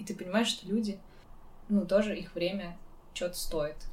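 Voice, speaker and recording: Audible room echo follows the woman as she talks at a moderate pace. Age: 20s. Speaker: podcast host. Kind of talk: casual chat.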